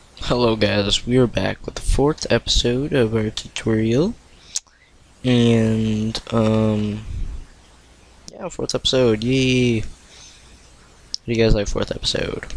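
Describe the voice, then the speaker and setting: Against noticeable background noise, a man of medium pitch talks at a very slow pace with fairly even intonation and long, frequent pauses. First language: not English (Korean or Tagalog). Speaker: coding tutorial youtuber. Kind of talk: tutorial. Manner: halting, stumbling.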